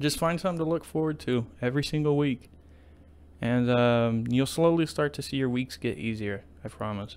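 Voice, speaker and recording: A man speaks at a moderate pace in an ordinary speaking voice. His pitch is medium, with ordinary variation. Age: 20s. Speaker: podcast host. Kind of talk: casual solo monologue.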